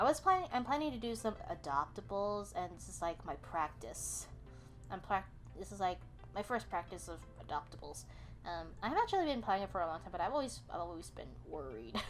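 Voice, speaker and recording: Over music in the background, a woman mumbles at a fairly quick pace. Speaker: digital artist. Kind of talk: casual commentary over speedpaint. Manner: hesitant, stuttering, mumbling.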